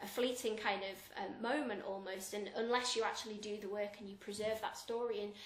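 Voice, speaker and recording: A woman's fairly high-pitched voice stays monotone and flat, with noticeable background noise behind it. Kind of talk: interview answer.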